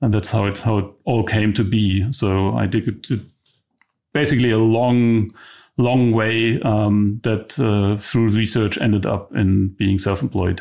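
With a German accent, a man speaks at a fairly slow pace and a fairly low pitch, with fairly even intonation and very even loudness, in a very clean recording with a silent background. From East Germany. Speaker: tech company co-founder and CTO. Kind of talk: interview. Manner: halting.

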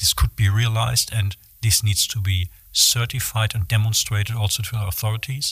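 A man speaks with a German accent at a fairly quick pace. His pitch is fairly low and his intonation fairly even. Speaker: materials engineer. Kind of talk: interview.

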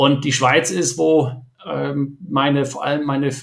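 With lively intonation, a man speaks at a fairly slow pace and a fairly high pitch. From Germany, Ruhr area. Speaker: startup entrepreneur and investor. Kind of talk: podcast interview. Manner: hesitant, many fillers.

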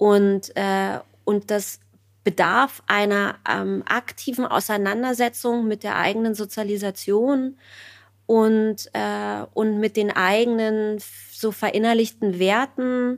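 On a very clean recording with a silent background, a woman with a fairly high pitch speaks at a very slow pace in a monotone, flat intonation. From East Germany. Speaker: writer and journalist. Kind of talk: interview.

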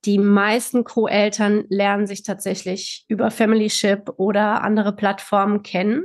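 Against a quiet background, a woman speaks in a monotone, flat way at a medium pitch. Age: 40s. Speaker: psychological counsellor, co-parenting expert. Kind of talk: interview.

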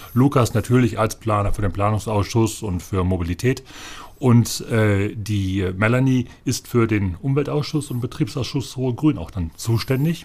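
A man with a somewhat breathy voice talks at a moderate pace with ordinary pitch variation. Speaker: parliamentary group manager. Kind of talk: casual chat.

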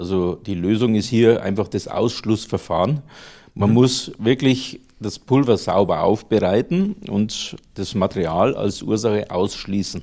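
In a Lower Bavarian accent, a man speaks fairly slowly at a fairly low pitch with ordinary pitch variation. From Lower Bavaria, Germany. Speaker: plastics engineer, powder processing entrepreneur. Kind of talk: interview.

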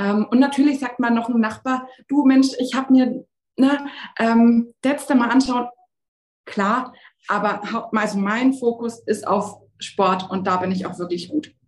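A woman with fairly high pitch and ordinary pitch variation speaks at a fairly slow pace, leaving long, frequent pauses. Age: 20s. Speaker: sports physiotherapist. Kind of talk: interview.

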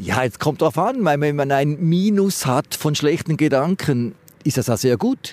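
In an ordinary speaking voice, a man talks at a fairly slow pace with fairly high pitch, lively intonation and very even loudness. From Switzerland, Schaffhausen. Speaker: dentist. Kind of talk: street interview. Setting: outdoors by the river.

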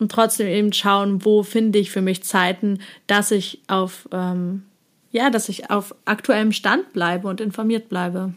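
The speech moves at a moderate pace with monotone, flat intonation, in a very clean recording with a silent background. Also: woman. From eastern Germany. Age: 20s. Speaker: psychology student and influencer. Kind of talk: casual chat.

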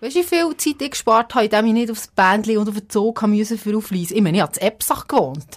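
The speaker talks at a very fast pace. The intonation is lively. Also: woman, fairly high pitch for a woman. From Switzerland, Epsach (Bernese Seeland). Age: 30s. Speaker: radio presenter, podcast co-host. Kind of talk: casual chat. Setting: radio studio.

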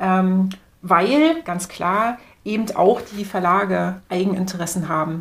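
Very slowly, a woman talks at a medium pitch with ordinary pitch variation. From East Berlin, Germany. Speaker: media researcher. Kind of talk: interview. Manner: hesitant, many fillers.

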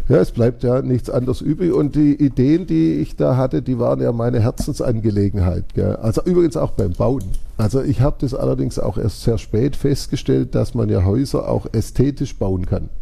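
Speaking with hardly a pause, a man keeps his loudness very even throughout. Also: moderate pace. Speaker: entrepreneur. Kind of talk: interview.

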